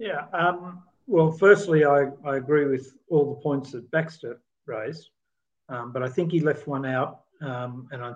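With an Australian accent, a man talks in a fairly high voice with ordinary pitch variation. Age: 60s. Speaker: podcast co-host. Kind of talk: casual chat.

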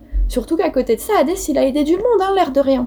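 Music sits in the background. Over it, a woman's voice makes very wide pitch swings. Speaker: mythology podcast host. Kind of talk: casual storytelling narration.

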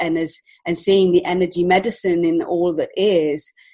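This woman has an English accent. Her pitch is fairly low. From England. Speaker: children's book author and illustrator. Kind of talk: interview.

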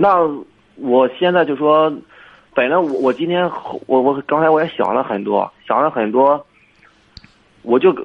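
A man with a fairly high voice speaks with long, frequent pauses. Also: ordinary pitch variation. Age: 20s. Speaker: caller seeking advice on a romantic rejection. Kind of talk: phone-in conversation. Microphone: too quiet at first.

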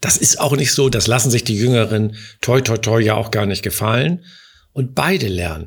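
In a very clean recording with a silent background, a man speaks somewhat breathily at a medium pitch and a moderate pace, with ordinary pitch variation. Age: 60s. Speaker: insurance executive. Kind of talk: interview.

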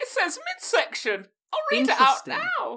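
A put-on character voice with an extremely high pitch and very wide pitch swings moves along at a fairly slow pace.

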